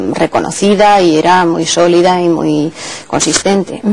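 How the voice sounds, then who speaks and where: Delivered at a moderate pace with fairly even intonation, the speech comes with noticeable background noise. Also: woman. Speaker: literature professor. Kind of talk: interview answer.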